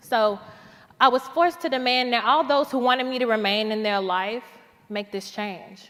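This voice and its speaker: A woman with a normal speaking voice talks at a moderate pace. Her pitch sits fairly high. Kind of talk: spoken word poetry performance.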